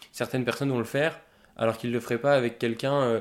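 In a very clean recording with a silent background, a man speaks fairly quickly at a medium pitch with monotone, flat intonation. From Paris, 18th arrondissement. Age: 20s. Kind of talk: casual interview. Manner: halting.

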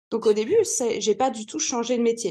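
The background is quiet as a woman talks at a moderate pace. Her tone is dark and mellow. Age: 20s. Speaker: business mentor. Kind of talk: podcast interview.

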